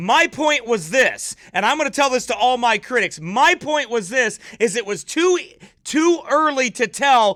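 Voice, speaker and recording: A man's shouting, raised, projected voice at an extremely high pitch, bright and sharp in tone, with lively intonation and an animated tone. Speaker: pastor. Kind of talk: livestream commentary. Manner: yelling.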